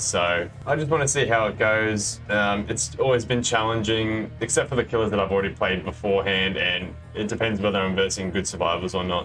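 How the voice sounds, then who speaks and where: Fairly quick speech from a man with an Australian accent, fairly low in pitch, over clear background music. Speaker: gamer. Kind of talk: casual gameplay commentary. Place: home room.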